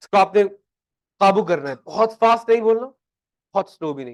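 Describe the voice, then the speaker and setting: Dry and close with no echo, a man speaks at a high pitch with lively intonation. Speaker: accounting teacher. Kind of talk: lecture. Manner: loud; animated.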